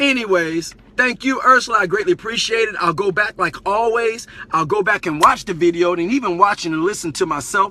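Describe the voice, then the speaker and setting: A man talks at a fairly quick pace in a raised, projected voice. His pitch is high, his tone animated and his pitch variation ordinary. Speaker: Facebook live streamer and community teacher. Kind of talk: live stream monologue. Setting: live broadcast on Facebook. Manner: fast.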